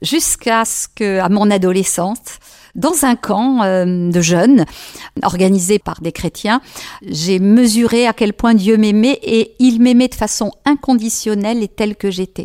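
At a fairly slow pace, a woman with a fairly high pitch and a dark, mellow tone speaks with ordinary pitch variation, the sound dry and close with no echo. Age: 60s. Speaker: head of a family association. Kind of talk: radio interview. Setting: studio.

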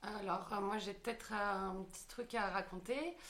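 This woman has a plain, everyday voice. Her pitch is medium, with ordinary pitch variation. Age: 20s. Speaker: stage actress. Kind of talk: casual chat.

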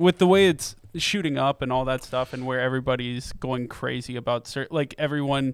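A plain, everyday voice from a man at medium pitch, ordinary pitch variation and moderate pace, in a dry, close sound with no echo and a very clean recording over a silent background. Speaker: podcast co-host. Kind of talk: casual chat. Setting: studio.

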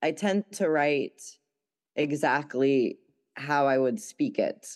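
In a quiet background, a woman speaks with a very deep, low pitch and ordinary pitch variation. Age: 30s. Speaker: poet and musician. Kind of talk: casual interview chat.

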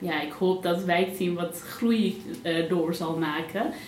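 A woman's fairly low, monotone, flat voice at a very slow pace, amid noticeable background noise and audible room echo. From Netherlands, Pakistani family. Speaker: general practitioner. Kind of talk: interview conversation. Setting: small live audience. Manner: hesitant, many fillers.

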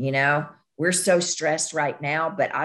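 A woman's very deep, low voice in a Southern US accent, fairly slow, with ordinary pitch variation. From US South, western Kentucky. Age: 50s. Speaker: nurse practitioner. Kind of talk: casual interview.

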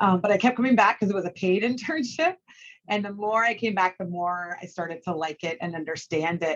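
A woman with a normal speaking voice talks at a fairly quick pace, her pitch medium with ordinary variation. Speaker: sports media executive. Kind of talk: interview conversation. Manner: fast talker.

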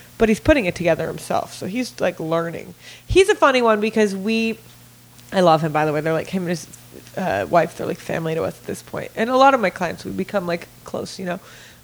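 A woman talks at a very fast pace in an animated tone at medium pitch, her loudness swinging widely over noticeable background noise. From Italy, raised in Los Angeles from about age 11. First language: Italian. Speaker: celebrity stylist. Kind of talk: casual chat. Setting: studio.

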